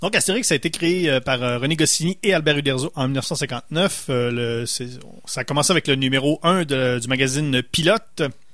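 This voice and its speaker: Here is a man with a plain, everyday voice and a fairly high pitch. He keeps a moderate pace with ordinary pitch variation and hardly any pauses. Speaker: radio host. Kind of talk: casual chat.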